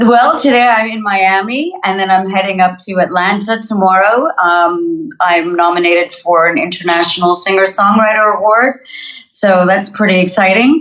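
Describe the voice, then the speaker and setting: A woman with a North American accent talks at a moderate pace with ordinary pitch variation in an unremarkable speaking voice. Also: medium pitch for a woman. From Montreal, Canada. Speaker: singer-songwriter. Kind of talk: podcast interview.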